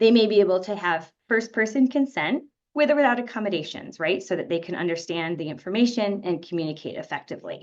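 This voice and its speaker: A woman's medium-pitched voice with an American accent, very fast, very wide pitch swings, and hardly any pauses. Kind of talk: lecture.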